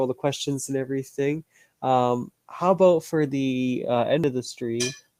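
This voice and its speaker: A man's fairly high voice with a dark, mellow tone, in a Canadian accent at a moderate pace, with ordinary pitch variation and a dry, close sound without echo. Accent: nasal Canadian. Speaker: gaming streamer and podcast host. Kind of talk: casual chat. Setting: live stream.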